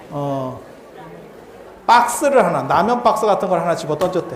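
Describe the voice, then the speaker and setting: Room echo is audible and background noise is noticeable. Over it, a man speaks at a high pitch with lively intonation. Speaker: Buddhist monk lecturer. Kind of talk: lecture. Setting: temple hall with audience. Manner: casual, many filler sounds.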